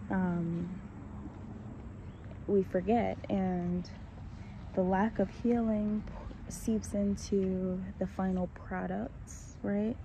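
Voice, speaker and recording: The speaker is soft-spoken and talks at a very slow pace, leaving long, frequent pauses. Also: woman. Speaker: vlogger. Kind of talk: casual monologue. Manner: hesitant, many fillers.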